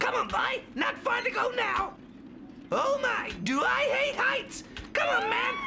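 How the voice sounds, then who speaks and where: Shouting in a cartoonish character voice at extremely high pitch, the speaker goes fairly slowly over clear background noise. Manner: jittery, comic.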